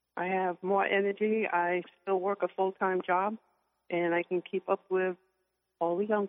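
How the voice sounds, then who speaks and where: Against music in the background, a woman speaks with monotone, flat intonation and very even loudness. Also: medium pitch for a woman. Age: 60s. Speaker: weight-loss program client. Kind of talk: testimony.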